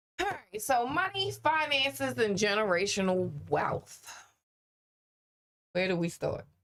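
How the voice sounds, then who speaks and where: A woman talks at a fairly slow pace, leaving long, frequent pauses. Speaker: podcast co-host. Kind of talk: casual chat. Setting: studio. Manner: loud.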